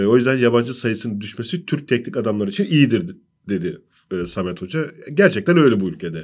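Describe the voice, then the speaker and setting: Against a quiet background, a man talks very fast at a medium pitch, his voice swinging very widely up and down. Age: 40s. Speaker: sports journalist. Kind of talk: football analysis panel discussion. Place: studio. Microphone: studio mic.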